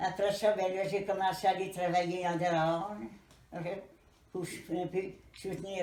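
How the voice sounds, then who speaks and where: Speaking at a very slow pace with long, frequent pauses, a woman with a Quebec accent has a fairly low pitch. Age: 80s+. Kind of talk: interview answer.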